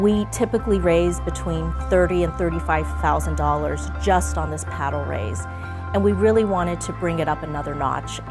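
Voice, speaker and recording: Over clear background music, a woman speaks at a moderate pace in a very deep, low voice. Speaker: event planner. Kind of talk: client testimonial interview answer. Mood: positive, appreciative. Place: meeting room. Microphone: lapel.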